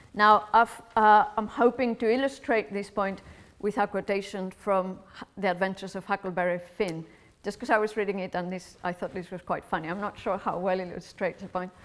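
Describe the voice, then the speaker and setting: At a fairly quick pace, a woman with a Spanish accent speaks at medium pitch with fairly even intonation. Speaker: philosophy lecturer. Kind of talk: lecture.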